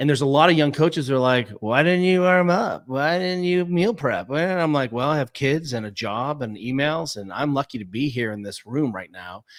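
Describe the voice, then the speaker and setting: A man with an American accent and an unremarkable speaking voice talks at a moderate pace with hardly any pauses, fairly high pitch and lively intonation on a very clean recording with a silent background. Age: 50s. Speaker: physical therapist and fitness coach. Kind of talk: casual interview.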